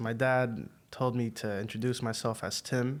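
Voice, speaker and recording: A man speaks at a medium pitch. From Egypt, moved to US at age eight. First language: Arabic. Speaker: podcast guest sharing faith story. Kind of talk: casual interview.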